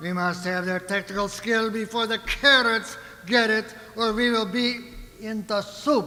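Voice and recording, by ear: In a put-on character voice, a man speaks at a fairly slow pace with a high pitch, a bright, sharp tone and fairly even intonation, while audible room echo surrounds him.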